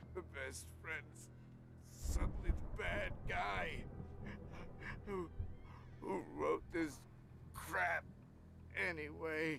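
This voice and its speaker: Through loud background noise, a man does a put-on character voice at a very slow pace, with long, frequent pauses. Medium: video game. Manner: panicky, rambling.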